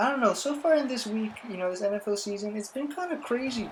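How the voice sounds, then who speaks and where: Loud and fairly quick, a woman speaks at a medium pitch, with audible room echo and noticeable background noise. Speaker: gaming YouTuber giving NFL predictions. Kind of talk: casual sports commentary.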